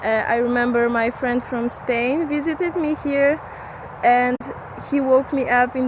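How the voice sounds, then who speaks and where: With noticeable background noise behind her, a woman talks at a high pitch with ordinary pitch variation. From Poland, Silesia. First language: Polish (Silesian). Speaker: volunteer. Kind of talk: personal testimony. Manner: halting, many fillers.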